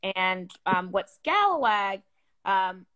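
This is a woman with a medium pitch. She talks in an American accent. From US, military family upbringing. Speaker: poet and magazine editor. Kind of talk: panel discussion.

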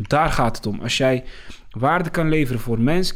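With lively intonation and a fairly high pitch, a man talks at a moderate pace in a plain, everyday voice on a very clean recording with a silent background. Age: 20s. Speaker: tutoring business founder. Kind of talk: casual interview.

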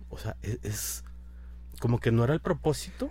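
A man talks in a very deep, low pitch with a dark, mellow tone and a somewhat breathy quality. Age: 30s. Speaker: food blogger and architect. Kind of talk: interview.

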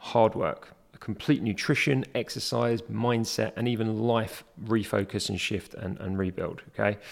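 A plain, everyday voice at a moderate pace, in a very clean recording with a silent background. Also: man. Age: 40s. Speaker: health and fitness podcast host. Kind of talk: solo educational monologue. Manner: frequent fillers like okay and um.

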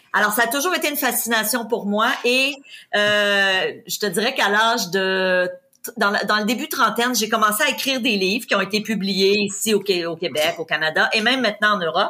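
Her tone is bright and sharp, and her pitch is fairly high. The woman keeps a moderate pace with ordinary pitch variation. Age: 50s. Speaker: real estate investor and trainer. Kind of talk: interview. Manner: energetic.

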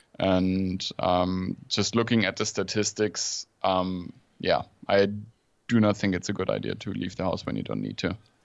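At a moderate pace, a man with a Swabian accent speaks in a very deep, low pitch and fairly even intonation. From southern Germany, near Stuttgart. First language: German. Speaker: journalist and podcaster. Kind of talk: casual interview chat. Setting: home office, remote call.

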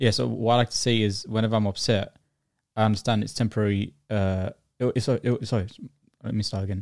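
A man with a London accent talks at a fairly quick pace in a fairly low voice with fairly even intonation. The recording is very clean, with a silent background. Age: 20s. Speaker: video creator. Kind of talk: casual chat. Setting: studio. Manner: fast talker; halting, repeats words.

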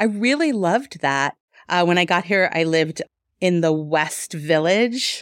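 At a fairly slow pace and very even loudness, a woman with an American accent and a fairly low pitch speaks with lively intonation, on a very clean recording with a silent background. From New York. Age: 40s. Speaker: boutique owner. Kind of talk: interview.

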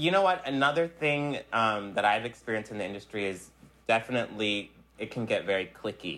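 Using an ordinary speaking voice, a man at medium pitch talks at a fairly quick pace with lively intonation. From US Northeast, South Jersey / Philadelphia area. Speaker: fashion production coordinator and stylist. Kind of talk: interview.

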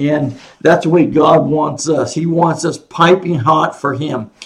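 This man's voice sits fairly high in pitch, with fairly even intonation. He talks at a fairly slow pace. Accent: American. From Oregon, US Pacific Northwest. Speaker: Bible teacher. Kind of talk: Bible lesson. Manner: halting.

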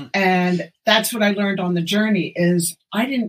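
The woman's voice, medium in pitch and somewhat breathy, keeps a moderate pace with ordinary pitch variation. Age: 60s. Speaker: functional medicine doctor. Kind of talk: casual chat. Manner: animated.

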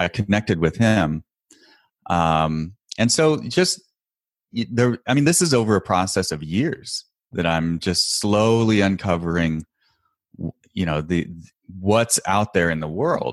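Someone with an American accent speaks at a fairly slow pace against a quiet background, in a dry, close recording with no echo. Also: man. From US Pacific Northwest, Portland, Oregon. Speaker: e-commerce bookkeeper and podcast host. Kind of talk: casual interview.

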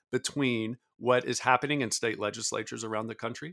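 Over a very clean recording with a silent background, a man talks very fast with an American accent and vocal fry. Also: dry, close sound with no echo. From US South. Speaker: former Senate staffer and political scientist. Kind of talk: interview.

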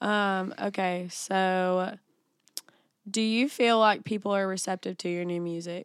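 A woman's plain, everyday voice at a medium pitch, with an American accent, a fairly slow pace and fairly even intonation, on a very clean recording with a silent background. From US South, Bible Belt. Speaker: podcast host. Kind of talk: casual chat.

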